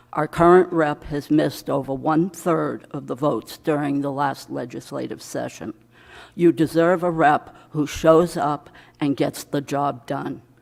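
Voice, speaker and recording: A woman's very deep, low voice with vocal fry in a New England accent, fairly even in intonation and fairly slow in pace, on a very clean recording with a silent background. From Maine. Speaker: legislative candidate. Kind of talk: candidate opening statement. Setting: candidates night event.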